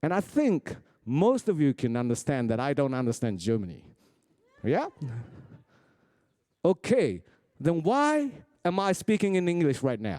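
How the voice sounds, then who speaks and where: Fairly slow speech from a man with a Japanese accent, his voice fairly high-pitched yet dark and mellow. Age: 40s. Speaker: rapper and crew meeting moderator. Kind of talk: motivational talk to a crew. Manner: simple, deliberate phrasing.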